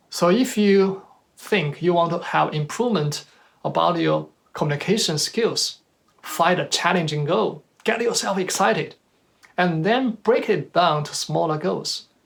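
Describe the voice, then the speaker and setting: The speaker talks at a fairly slow pace with a Chinese accent. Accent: Chinese accent, noticeable. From China. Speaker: speaker at professional talk. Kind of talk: presentation talk. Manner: halting, with self-corrections.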